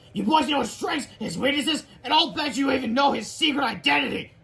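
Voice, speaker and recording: A put-on character voice, growling and high-pitched, at a fairly quick pace. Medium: read story. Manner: snarling, bossy.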